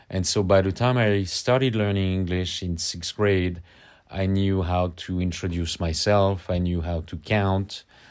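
On a very clean recording with a silent background, a man speaks in a French accent. His very deep, low voice keeps fairly even intonation. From Paris, France. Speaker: podcast guest.

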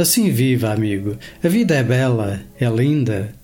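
In a Lisbon accent, a man with a dark, mellow, somewhat breathy tone and medium pitch speaks at a fairly slow pace with lively intonation. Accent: European Portuguese (Lisbon). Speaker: radio poetry host. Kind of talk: reading poems aloud on radio. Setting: radio studio broadcast. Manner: slow, measured, expressive poetic delivery.

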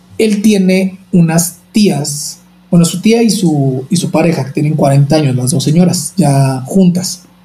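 This man's voice sits high in pitch, moving with ordinary pitch variation at a very slow pace. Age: 30s. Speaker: nurse and opera singer. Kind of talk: interview. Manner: talkative, energetic.

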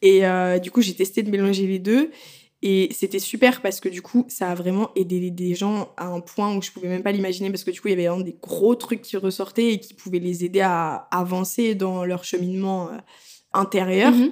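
A woman with a plain, everyday voice, medium pitch, fairly even intonation, a moderate pace, and big swings in loudness. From France. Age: 20s. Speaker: tattoo artist. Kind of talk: casual chat.

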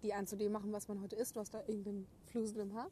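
A woman speaks very fast in a fairly high voice with a dark, mellow tone and a somewhat breathy quality. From Germany, Gütersloh (Westphalia). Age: 20s. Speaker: podcast co-host. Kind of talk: casual chat. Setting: outdoors.

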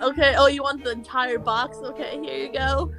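Music plays in the background as a woman speaks. She talks at a moderate pace with an American accent. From Tampa, Florida area. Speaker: podcast guest; convenience store clerk. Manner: casual, laid-back.

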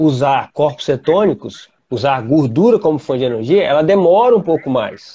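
Somewhat breathy, a man with a fairly high pitch swings very widely in pitch at a moderate pace. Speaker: podcast host, triathlete. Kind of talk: casual chat.

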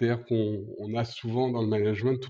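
Keeping a moderate pace, a man talks at a medium pitch with fairly even intonation, his voice somewhat breathy and dark, mellow in tone. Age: 50s. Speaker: event industry manager. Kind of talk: interview. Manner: hesitant, many fillers.

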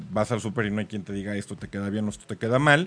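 This man has an unremarkable speaking voice with a fairly low pitch. His intonation is lively. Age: 40s. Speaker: sales trainer. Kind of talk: casual chat.

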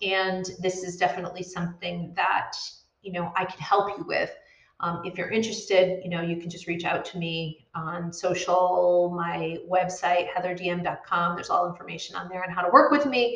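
A woman speaks at a moderate pace in a medium pitch, with fairly even intonation. Her loudness swings widely, and audible room echo is present. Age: 40s. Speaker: midlife coach and podcast host. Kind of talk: casual solo talk to camera. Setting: live video stream.

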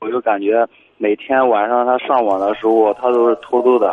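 With fairly even intonation and a medium pitch, a man speaks in an unremarkable speaking voice. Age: young. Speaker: caller. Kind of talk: call-in conversation.

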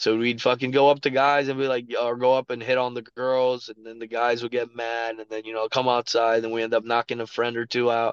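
Talking at a fairly quick pace, a man with a medium pitch shows big swings in loudness. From Miami, Florida (Kendall). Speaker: professional MMA fighter. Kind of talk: casual interview chat. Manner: animated.

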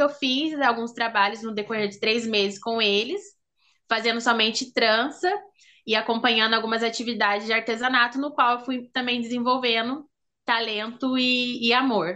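Against a quiet background, a woman speaks in a high pitch with a bright, sharp tone. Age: 20s. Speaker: braider and cultural producer. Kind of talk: casual interview.

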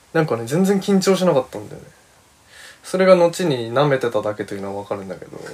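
Talking very fast at a medium pitch, a man swings very widely in pitch and greatly in loudness. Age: 20s. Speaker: podcast host, freelance creative. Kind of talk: casual monologue. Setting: recording room with a friend present.

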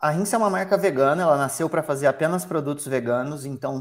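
A male speaker with an unremarkable speaking voice, pitched fairly high, ordinary in his pitch variation. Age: 30s. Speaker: founder of a vegan footwear brand, trained airline pilot. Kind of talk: interview.

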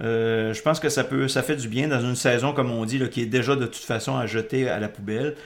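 A man's normal speaking voice at medium pitch, fairly quick and even, with hardly any pauses. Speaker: podcast host. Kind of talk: casual chat.

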